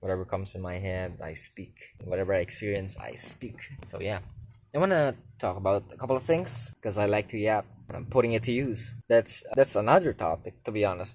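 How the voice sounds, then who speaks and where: Recorded very cleanly against a silent background, a man with a fairly low, somewhat breathy voice talks at a fairly quick pace with big swings in loudness. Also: ordinary pitch variation. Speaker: vlogger. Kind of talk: casual vlog monologue. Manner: halting, stumbling on words.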